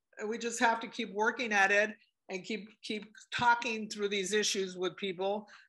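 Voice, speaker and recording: A woman's fairly high, bright, sharp voice at a moderate pace, with monotone, flat intonation. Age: 60s. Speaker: book club participant. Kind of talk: group discussion. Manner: halting, many repetitions.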